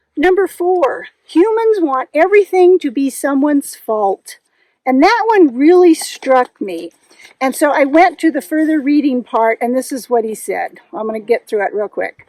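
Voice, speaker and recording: At a moderate pace, a woman with a high pitch and a dark, mellow tone swings very widely in pitch, her sound dry and close with no echo. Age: 60s. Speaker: knitting and hiking vlogger. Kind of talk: casual vlog chat. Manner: halting, with fillers.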